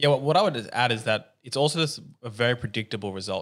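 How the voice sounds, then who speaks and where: Very fast speech with ordinary pitch variation, on a very clean recording with a silent background. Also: man. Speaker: podcaster and gym owner. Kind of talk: casual interview chat.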